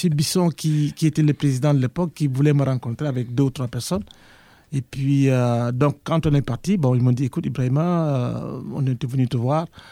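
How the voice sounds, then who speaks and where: A man at medium pitch with a dark, mellow tone, fairly even intonation and a moderate pace, in a very clean recording with a silent background. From Senegal. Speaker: university professor, former association president. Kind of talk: interview.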